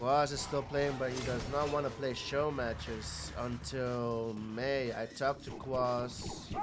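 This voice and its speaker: The speech moves at a fairly slow pace with hardly any pauses. Music plays in the background, and room echo is audible. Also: man, medium pitch for a man. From Netherlands. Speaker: esports commentator. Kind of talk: live commentary. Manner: animated.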